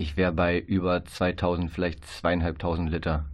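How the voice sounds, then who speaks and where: The man's intonation is fairly even. His pitch is very deep and low. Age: 20s. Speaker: trainee educator. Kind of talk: radio interview. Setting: radio studio.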